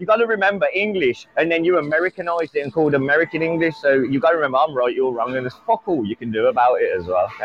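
A man speaks with a British accent. His voice sits fairly high in pitch. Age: 30s. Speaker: caller. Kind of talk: casual chat. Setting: call-in. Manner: animated.

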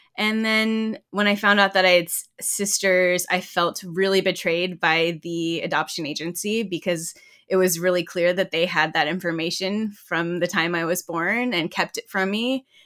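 In an American accent, a woman talks with hardly any pauses. Her medium-pitched voice has a bright, sharp tone and fairly even intonation. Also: moderate pace, very clean recording, silent background. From US South, Georgia and Texas. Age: young. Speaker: writer and community historian. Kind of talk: interview.

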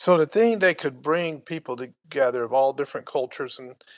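A man with an unremarkable speaking voice talks at a moderate pace with ordinary pitch variation. The sound is dry and close with no echo over a quiet background. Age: 60s. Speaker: podcast co-host. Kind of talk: casual chat.

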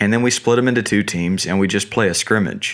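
With an American accent, a man speaks in fairly even intonation. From US South, North Carolina. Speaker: youth baseball coach. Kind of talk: interview.

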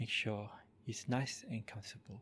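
With ordinary pitch variation, a somewhat breathy voice speaks at a fairly slow pace. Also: man. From Malaysia, moved to Australia at twelve. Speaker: Buddhist monk. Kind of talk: slow, soothing guided body-scan meditation with repeated gentle 'relax' cues. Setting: live-streamed recording at a monastery. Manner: calm, unhurried, softly repetitive instructions; halting with frequent 'uh' and 'um' fillers when speaking freely.

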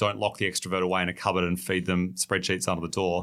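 A man's bright, sharp voice with an Australian accent at a very fast pace, on a very clean recording with a silent background. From Australia, Tasmania. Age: 30s. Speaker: tech startup co-founder. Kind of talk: casual interview.

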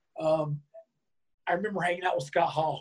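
Speaking at a fairly quick pace with an American accent, a man sounds somewhat breathy, his intonation monotone and flat. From North Carolina, US South. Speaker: former pro wrestler. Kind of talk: interview.

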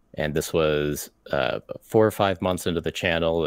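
On a very clean recording with a silent background, a man with an American accent speaks at a moderate pace in a very deep, low voice, the sound dry and close with no echo. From United States. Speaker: YouTuber and miniature painter. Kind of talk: casual chat. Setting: livestream with chat.

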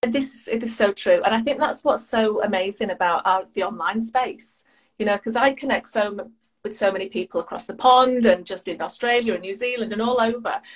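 A somewhat breathy woman's voice with a British accent, fairly high in pitch, at a fairly quick pace and with ordinary pitch variation. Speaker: life and business coach, podcaster. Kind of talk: casual interview chat. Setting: video call, evening.

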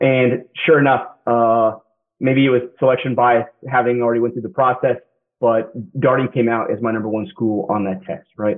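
Here is a normal speaking voice with an American accent. It moves at a fairly quick pace with ordinary pitch variation. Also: man. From Kansas. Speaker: MBA student and military veteran. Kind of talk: interview.

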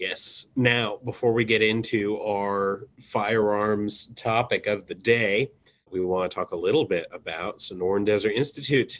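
A man speaks in an ordinary speaking voice, fairly low in pitch, with fairly even intonation. His pace is fairly slow, and the background is quiet. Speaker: podcast host. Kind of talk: casual podcast chat.

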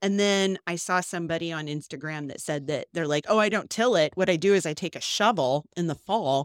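In a plain, everyday voice, a woman speaks at a fairly quick pace with fairly low pitch and ordinary pitch variation, the sound dry and close with no echo on a very clean recording with a silent background. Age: 40s. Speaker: podcast co-host, farm wife. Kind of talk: casual chat.

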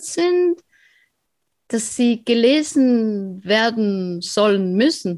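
A woman speaks at a very slow pace with a Swiss German accent. Her pitch is fairly high. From eastern Switzerland. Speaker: author. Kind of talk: interview.

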